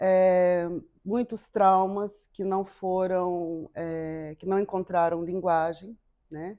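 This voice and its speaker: Very slowly, a woman speaks at a medium pitch with fairly even intonation and a dark, mellow tone against a quiet background. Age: 50s. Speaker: psychotherapist. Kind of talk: interview.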